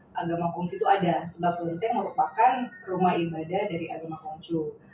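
A woman's fairly low voice at a fairly quick pace, over noticeable background noise. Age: 40s. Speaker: Confucian religious community leader. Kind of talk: interview.

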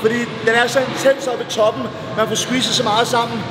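A man talks at a fairly quick pace against loud background noise. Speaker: bodybuilder vlogger. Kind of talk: casual vlog chat. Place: gym.

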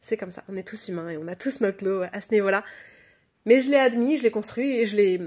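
The speech comes at a moderate pace with ordinary pitch variation. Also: woman. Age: 30s. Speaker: life coach. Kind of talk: casual podcast monologue. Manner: animated.

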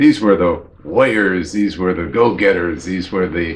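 A man's very deep, low pitch with ordinary pitch variation. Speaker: film commentary host. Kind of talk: casual commentary. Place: home room. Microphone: webcam.

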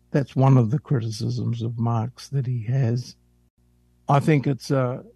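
Very slowly and with fairly even intonation, a man speaks in a medium-pitched, somewhat breathy voice of dark, mellow tone, the sound dry and close with no echo. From Australia, Sydney. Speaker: psychotherapist. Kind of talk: interview.

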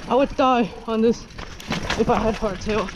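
A man talking at a fairly slow pace against noticeable background noise. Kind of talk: casual self-talk while riding. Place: bicycle. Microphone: helmet.

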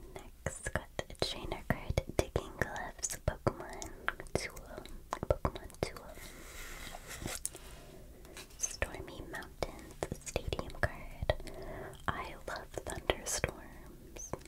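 The speaker is whispering, soft-spoken, in a relaxed tone. Long, frequent pauses break up the speech. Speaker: card opening host. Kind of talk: soft casual commentary. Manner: soft whisper, slow and relaxed.

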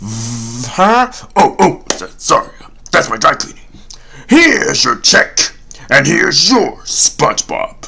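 A man speaks in a cartoonish character voice at a fairly slow pace, with long, frequent pauses. There is light background noise. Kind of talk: comic cartoon parody voice. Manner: gruff, stingy, gloating.

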